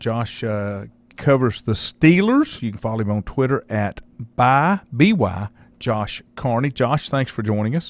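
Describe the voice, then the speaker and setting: A man in a Southern US accent, fairly slow, with a dry, close sound and no echo. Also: medium pitch for a man, lively intonation. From North Carolina. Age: 60s. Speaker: sports talk radio host. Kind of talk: radio interview.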